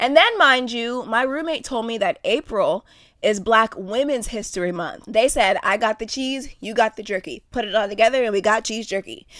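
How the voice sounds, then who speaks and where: A woman speaks at a fairly high pitch and moderate pace in an animated tone, with ordinary pitch variation and hardly any pauses. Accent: American. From Pennsylvania. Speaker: podcast host. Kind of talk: casual monologue.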